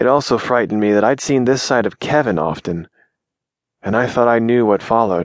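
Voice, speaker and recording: A man's fairly low voice, menacing in tone, at a moderate pace with ordinary pitch variation, dry and close with no echo, against a quiet background. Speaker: audiobook narrator. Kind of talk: audiobook narration of fiction; dramatic first-person narration. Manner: tense, hushed, suspenseful pacing; shifts between narrator and menacing, low, controlled character voices.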